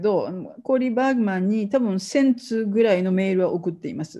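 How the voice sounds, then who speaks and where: Somewhat breathy and dark, mellow in tone, a woman's voice carries lively intonation. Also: quiet background. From Japan. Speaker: professor; university researcher lecturer. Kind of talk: lecture. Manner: halting. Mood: relaxed, anecdotal.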